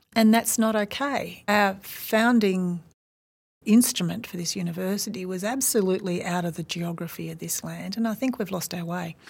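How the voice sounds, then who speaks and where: A woman with an Australian accent speaks at a moderate pace and medium pitch, with ordinary pitch variation, in a very clean recording with a silent background. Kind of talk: interview conversation.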